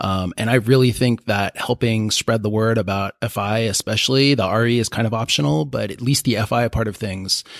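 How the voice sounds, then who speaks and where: With an American accent and an ordinary speaking voice, a man talks at a fairly quick pace with hardly any pauses, using medium pitch and ordinary pitch variation in a dry, close sound with no echo. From US, San Diego, California. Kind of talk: group discussion around a table.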